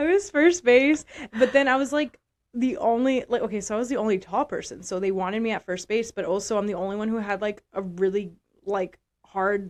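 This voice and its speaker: A woman talks in a normal speaking voice, fairly high in pitch with ordinary pitch variation. Her pace is fairly quick, and the background is quiet. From South Texas. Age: 20s. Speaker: podcast co-host, physical therapist, former athlete. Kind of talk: casual chat.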